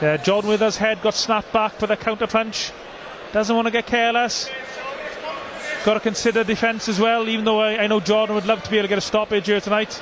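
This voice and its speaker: A man with a high pitch speaks at a very fast pace over noticeable background noise. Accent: Welsh. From South Wales. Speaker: boxing commentator. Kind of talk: live commentary. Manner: animated.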